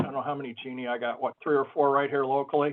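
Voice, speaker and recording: A man speaks at a fairly high pitch. His intonation is monotone and flat. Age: 60s. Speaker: sign shop owner. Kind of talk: webinar panel discussion.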